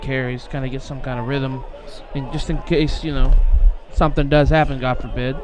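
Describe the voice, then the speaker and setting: Mumbled speech at a moderate pace and fairly even intonation carries audible room echo, with music playing in the background. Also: man. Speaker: color commentator. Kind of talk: live commentary. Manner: mumbling.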